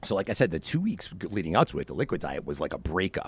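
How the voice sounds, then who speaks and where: This man has a fairly low pitch and vocal fry. The recording is very clean, with a silent background. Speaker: podcaster and tutoring company founder. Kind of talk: casual interview chat.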